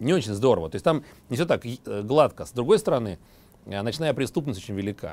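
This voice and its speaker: A man with a medium pitch races along at a very fast pace, his pitch swinging very widely. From Moscow, Russia. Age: 40s. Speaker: wine entrepreneur. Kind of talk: TV interview.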